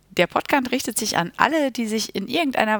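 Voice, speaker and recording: On a very clean recording with a silent background, this woman talks at a moderate pace. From Germany, Münster (Westphalia). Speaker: school teacher and podcast host. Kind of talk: solo podcast introduction. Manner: casual with filler sounds.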